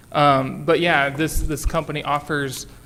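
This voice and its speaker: A loud man with a fairly high-pitched voice talks at a moderate pace. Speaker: city staff presenter. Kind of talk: council committee presentation. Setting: council meeting with microphone.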